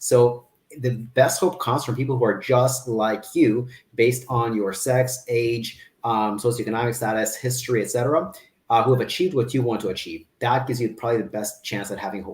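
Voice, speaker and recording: A man talks at a fairly quick pace with fairly even intonation. His medium-pitched voice is somewhat breathy. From Kazakhstan. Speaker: fitness business owner. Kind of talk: interview.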